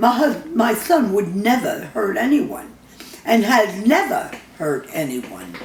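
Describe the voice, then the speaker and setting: Over noticeable background noise, a woman with a fairly high voice talks fairly slowly, her pitch swinging very widely. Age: 80s+. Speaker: mother reading letter to judge. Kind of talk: reading a personal letter aloud.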